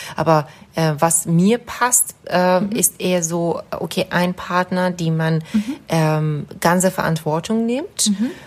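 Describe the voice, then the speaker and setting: A woman talks at a very slow pace in a Persian accent. Her pitch is fairly low. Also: ordinary pitch variation. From Iran. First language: Persian (speaking German). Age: 30s. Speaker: psychologist. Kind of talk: casual interview. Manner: halting.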